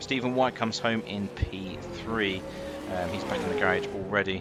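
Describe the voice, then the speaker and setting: A man with a British accent and ordinary pitch variation, music in the background. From Britain. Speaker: sim racing commentator. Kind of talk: live commentary. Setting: commentary booth.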